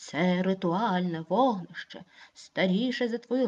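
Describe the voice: Ordinary pitch variation in plain reading aloud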